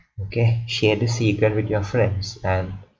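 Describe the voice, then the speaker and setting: A man talks at a moderate pace in a monotone, flat delivery. Room echo is audible. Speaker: student tutor explaining algorithms. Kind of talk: tutorial. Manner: halting, many repetitions.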